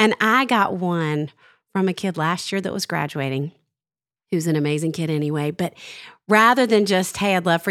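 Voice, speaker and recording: The recording is very clean, with a silent background. A woman talks in a normal speaking voice at a medium pitch and a fairly quick pace, with ordinary pitch variation. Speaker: podcast host. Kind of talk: casual chat. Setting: studio.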